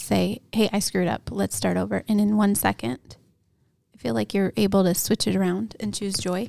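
A woman with an American accent speaks at a moderate pace in a dark, mellow tone. The sound is dry and close, with no echo. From Montana, Hamilton. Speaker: pastor. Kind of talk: casual chat. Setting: studio.

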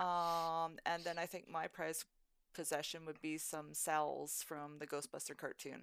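A woman speaks at a fairly low pitch and a fairly slow pace. Her intonation stays flat and monotone. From southern Alberta, Canada. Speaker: cosplay fan group member. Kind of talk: casual chat.

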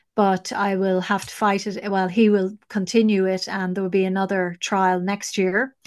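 With an Irish accent, a woman speaks at a medium pitch in a monotone, flat intonation, with hardly any pauses. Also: moderate pace, quiet background. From Ireland. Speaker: investigative journalist. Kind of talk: interview.

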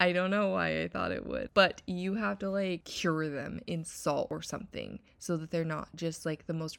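On a very clean recording with a silent background, a woman speaks at a fairly low pitch and a moderate pace, with lively intonation. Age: 30s. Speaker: wellness podcast host. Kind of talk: casual solo chat.

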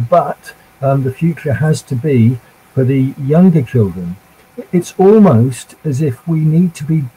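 A man at medium pitch speaks in an ordinary speaking voice with ordinary pitch variation. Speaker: spiritualist panelist, last-minute stand-in. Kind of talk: panel discussion.

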